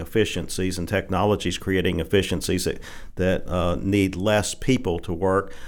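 On a very clean recording with a silent background, a man in a Southern US accent talks at a moderate pace with a very deep, low pitch. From Arkansas Delta (Holly Grove). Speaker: appeals court judge. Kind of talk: casual interview. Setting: studio. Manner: halting, many fillers.

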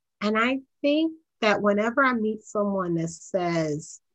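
A woman in an American accent, a normal speaking voice with lively intonation at a fairly slow pace. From US, Baltimore, Maryland. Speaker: accounting executive. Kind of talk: interview.

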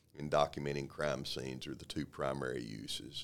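A very deep, low-pitched man's voice with a Texan accent at a moderate pace. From Texas, Waco. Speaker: police sergeant. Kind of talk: interview. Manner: hesitant, many fillers.

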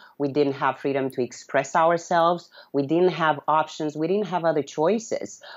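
With a Romanian accent, a woman speaks at a moderate pace and a very deep, low pitch, with very even loudness and hardly any pauses. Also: ordinary pitch variation. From Romania, city near Yugoslav border. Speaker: blogger and freedom advocate. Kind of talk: interview. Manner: halting.

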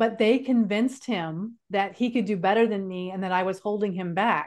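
A woman with an American accent and a plain, everyday voice, medium pitch and moderate pace, on a very clean recording with a silent background. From California. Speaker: speaker and author. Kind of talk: interview storytelling.

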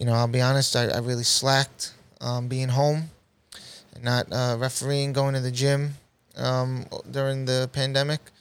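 Talking at a moderate pace, a man with a New York accent has a medium-pitched voice. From Queens, New York City. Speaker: basketball referee and DJ. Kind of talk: casual interview.

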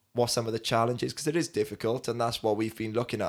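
A man speaks with a Welsh accent and fairly even intonation. The recording is very clean, with a silent background. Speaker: podcast host and youth leader. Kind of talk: casual chat.

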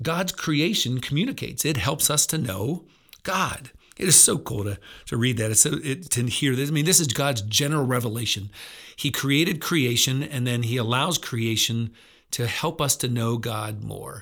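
A man with an American accent speaks in a plain, everyday voice at a medium pitch and moderate pace, with ordinary pitch variation. The recording is very clean, with a silent background. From central Pennsylvania. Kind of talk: devotional talk. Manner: conversational.

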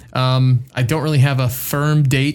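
A man's somewhat breathy, medium-pitched voice with fairly even intonation. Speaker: podcast co-host. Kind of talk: casual chat.

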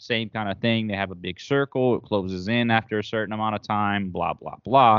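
Fairly low in pitch, a man with an unremarkable speaking voice talks at a moderate pace with fairly even intonation. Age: 20s. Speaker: Twitch streamer and content creator. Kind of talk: casual chat.

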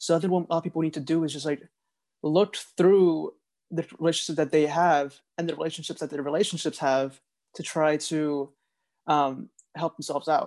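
Over a quiet background, a man with a fairly high pitch and a normal speaking voice talks at a fairly quick pace. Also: fairly even intonation. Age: 20s. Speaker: podcast co-host, video editor. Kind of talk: casual chat.

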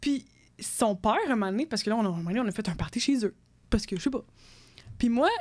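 Though her pace is very fast, a woman with a fairly high pitch and ordinary pitch variation leaves long, frequent pauses. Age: 20s. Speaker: engineering student and podcast co-host. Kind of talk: casual chat.

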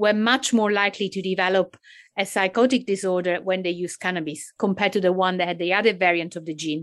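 Against a quiet background, a woman speaks with an Italian accent at a medium pitch. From Italy. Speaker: cannabis and psychosis researcher. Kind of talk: interview. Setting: video call.

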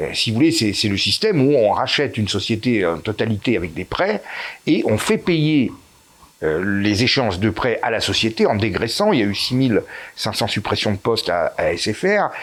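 A man's plain, everyday voice at a medium pitch, with lively intonation and a moderate pace. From Corsica and Italy. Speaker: author and YouTuber. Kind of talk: interview.

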